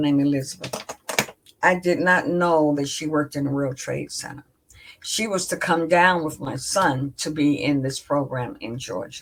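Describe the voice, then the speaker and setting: A woman speaks at a very deep, low pitch. Her pace is moderate, with ordinary pitch variation. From South Carolina, US South. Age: 70s. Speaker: author and minister. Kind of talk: interview.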